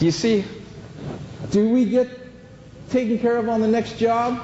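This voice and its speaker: A man speaks loudly at a moderate pace, with audible room echo and noticeable background noise. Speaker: flooring installation trainer. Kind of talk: training seminar. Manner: animated.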